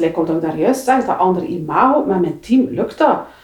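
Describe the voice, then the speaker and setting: A woman speaks with a Flemish accent. Her pitch swings very widely. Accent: Flemish Dutch. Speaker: public transport manager. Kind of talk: interview. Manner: halting.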